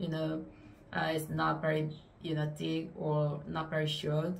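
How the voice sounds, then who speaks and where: This woman has a non-native accent. She speaks at a moderate pace. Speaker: booktuber. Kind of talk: casual talk to camera. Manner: hesitant, many fillers.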